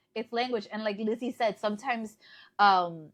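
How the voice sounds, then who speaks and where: Heard over a quiet background, a woman with a Spanish accent speaks at a medium pitch in a dry, close sound with no echo. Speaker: podcast co-host, journalist. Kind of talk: casual chat.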